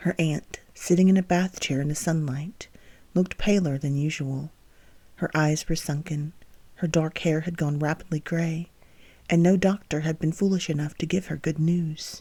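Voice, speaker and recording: The speaker is soft-spoken, with a calm tone and a moderate pace. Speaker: book reader and author of the novel. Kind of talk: soft-spoken sleep-time reading of a romance novel chapter. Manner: soft-spoken, calm.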